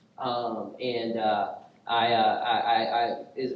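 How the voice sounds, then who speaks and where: A man is speaking. There is audible room echo. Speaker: pastor. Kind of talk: sermon. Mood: light, joking. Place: church.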